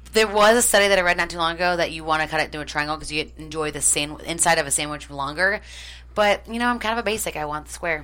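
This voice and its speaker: At a very fast pace, a woman talks in an animated tone with a very deep, low pitch, ordinary pitch variation and vocal fry, on a very clean recording with a silent background. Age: 20s. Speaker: first-time podcast guest. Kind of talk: casual chat.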